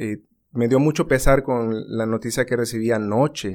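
A man speaks at a fairly slow pace. He has an unremarkable speaking voice with a medium pitch. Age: 30s. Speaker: insurance agent. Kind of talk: casual chat.

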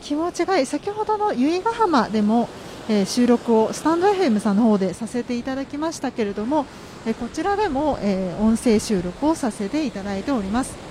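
Amid noticeable background noise, a woman with a high pitch speaks at a moderate pace with very wide pitch swings. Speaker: podcast host. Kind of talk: casual monologue. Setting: outdoors by the sea. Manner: polite formal.

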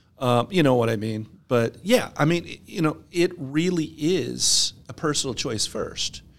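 In an ordinary speaking voice with an American accent, a man talks at a fairly slow pace with hardly any pauses. His pitch is fairly high and his intonation lively. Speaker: tax advisor. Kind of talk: casual chat.

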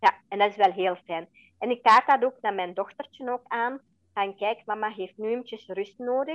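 In a dry, close sound with no echo, a woman with an ordinary speaking voice and fairly high pitch talks at a moderate pace. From Belgium (Flanders), adopted from India at age four. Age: 40s. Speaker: interview guest, adoptee and mother. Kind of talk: personal testimony in interview. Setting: podcast interview.

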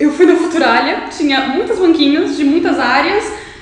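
Moderate pace amid audible room echo and noticeable background noise. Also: woman. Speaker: law student and youtuber. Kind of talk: podcast interview.

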